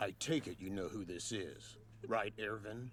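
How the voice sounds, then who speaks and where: A man puts on a character voice at a fairly low pitch. He speaks at a moderate pace over clear background noise. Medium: fan dub. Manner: theatrical, accusatory.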